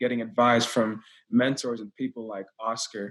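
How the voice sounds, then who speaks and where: In an American accent, a man speaks at medium pitch with fairly even intonation. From Texas. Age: 20s. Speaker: Air Force member and real estate investor. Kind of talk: casual podcast chat.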